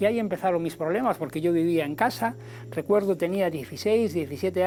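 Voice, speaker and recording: A man with a high pitch and lively intonation at a fairly quick pace, music in the background. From Spain, Galicia (Ferrol). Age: 60s. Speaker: health and nutrition presenter. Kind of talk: personal testimony and health talk. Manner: hesitant, with fillers and repetitions.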